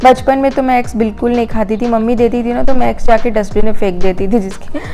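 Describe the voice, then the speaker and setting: A woman speaks with a fairly high pitch and fairly even intonation. Music can be heard in the background. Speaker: lifestyle vlogger. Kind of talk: vlog voice-over narration. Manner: casual, hesitant fillers.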